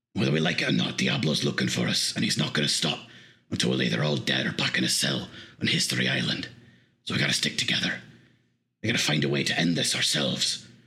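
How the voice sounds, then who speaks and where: In a put-on character voice, a man rasps out words at a very fast pace in a very deep, low pitch, broken by long, frequent pauses. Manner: gruff but earnest, apologetic.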